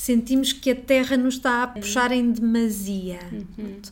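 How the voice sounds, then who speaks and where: At a fairly slow pace, a woman speaks with high pitch and a monotone, flat intonation. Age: 40s. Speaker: astrologer. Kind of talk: interview.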